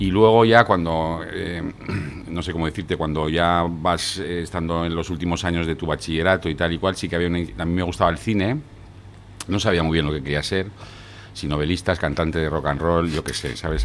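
Over light background noise, a man speaks at a very deep, low pitch with ordinary pitch variation. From France until age 10, then Spain. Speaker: screenwriter and poet; poet. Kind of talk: casual interview chat. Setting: studio with camera. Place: bar. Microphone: studio mic.

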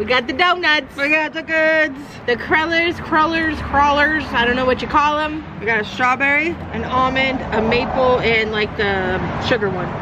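Loud background noise surrounds a woman who speaks with ordinary pitch variation. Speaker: food vlogger. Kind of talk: casual vlog chat. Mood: cheerful, relaxed. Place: bar. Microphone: phone near.

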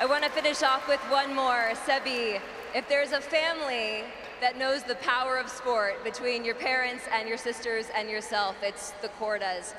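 Over noticeable background noise, a high-pitched woman speaks at a moderate pace with fairly even intonation. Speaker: on-court interviewer. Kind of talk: live event interviewing; interview questions. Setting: stadium with crowd. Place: stadium. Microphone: handheld.

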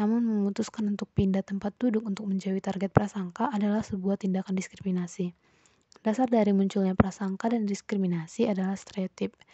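A woman talks very fast at a medium pitch, her flat, monotone delivery somewhat breathy. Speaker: psychology student. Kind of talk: class presentation.

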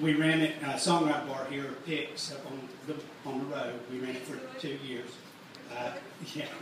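With strong room echo and noticeable background noise, a man speaks at a moderate pace in a fairly high, monotone, flat voice, leaving long, frequent pauses. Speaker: merchandise company owner. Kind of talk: live workshop talk. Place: stage.

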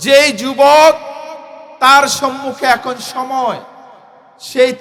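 This man's voice is extremely high-pitched, and there is noticeable background noise. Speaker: Islamic cleric and political speaker. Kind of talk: political rally speech. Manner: oratorical, rhetorical repetition.

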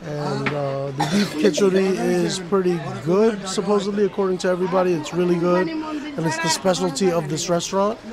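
With crowd noise in the background, a man speaks at a moderate pace with ordinary pitch variation. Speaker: travel vlogger. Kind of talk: casual vlog chat. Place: cafe. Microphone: lapel.

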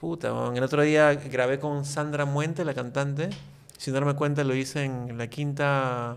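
A man with a fairly high pitch speaks in a monotone, flat way. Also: fairly slow pace. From Peru, Lima; Peru. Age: 40s. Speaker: YouTube content creator. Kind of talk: casual interview chat. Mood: relaxed, reflective. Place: studio. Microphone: studio mic.

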